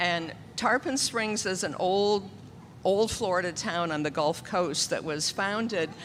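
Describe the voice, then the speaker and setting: Her intonation lively, a woman speaks at a medium pitch and a very slow pace. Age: 70s. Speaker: church pianist. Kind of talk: children's story time and announcement in church service. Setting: church.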